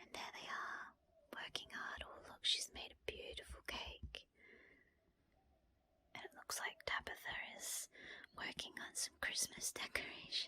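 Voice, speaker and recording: Whispering at a fairly slow pace, a woman keeps a gentle tone while her loudness swings widely. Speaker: ASMR creator and storyteller. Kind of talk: bedtime story reading. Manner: soft-spoken, gentle.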